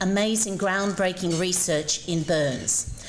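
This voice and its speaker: A woman with an Australian accent speaks at medium pitch and a fairly slow pace, her intonation lively. Audible room echo and noticeable background noise accompany her. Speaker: former ballet dancer, invited speaker. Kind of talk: public speech. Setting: breakfast event with audience.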